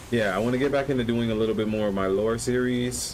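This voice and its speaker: Fairly even intonation marks this man's speech. Audible room echo can be heard. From Caribbean (Jamaica and Bahamas). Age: 30s. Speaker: gaming streamer. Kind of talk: live gameplay commentary. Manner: casual, hesitant with fillers.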